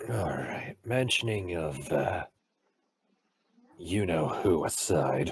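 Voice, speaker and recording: In a put-on character voice, a raspy man speaks at a very slow pace with very deep, low pitch, lively intonation, and long, frequent pauses. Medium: actual play. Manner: wry, hesitant.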